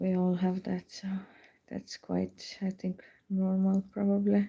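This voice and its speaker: A woman's voice at a medium pitch, dark and mellow in tone and somewhat breathy, monotone and flat, at a fairly slow pace. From Estonia. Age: 30s. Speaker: lace knitter. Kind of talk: casual livestream chat. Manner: halting.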